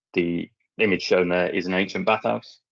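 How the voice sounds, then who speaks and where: In an English accent, a man speaks at a very deep, low pitch with fairly even intonation, in a dry, close sound with no echo. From England. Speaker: munitions clearance specialist. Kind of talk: conference presentation and Q&A. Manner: fast.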